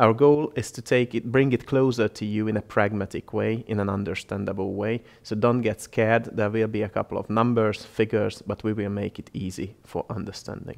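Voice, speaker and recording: In a Hungarian accent, the speaker talks at a fairly quick pace with hardly any pauses and fairly even intonation over a quiet background. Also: man, fairly low pitch for a man. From Hungary. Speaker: health economist. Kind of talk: educational presentation.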